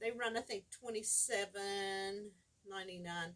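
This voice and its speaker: A woman is speaking here. Her pace is fairly slow. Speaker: fabric store owner hosting weekly live show. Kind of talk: casual chat. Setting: livestream video. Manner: loud.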